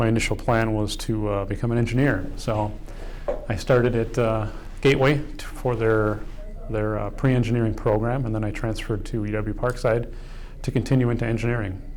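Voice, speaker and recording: Amid noticeable background noise and audible room echo, a man speaks at a medium pitch and a fairly quick pace in a monotone, flat intonation. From US Midwest, Kenosha, Wisconsin. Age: 50s. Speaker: fire chief. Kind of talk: documentary interview. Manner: halting, many fillers.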